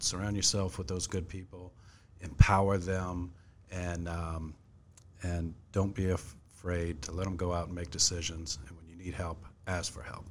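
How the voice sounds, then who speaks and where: Somewhat breathy, the voice has an American accent and a monotone, flat intonation. It moves at a moderate pace with big swings in loudness. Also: man, very deep, low pitch for a man. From Fredericksburg, Virginia, US. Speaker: police chief. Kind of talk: interview.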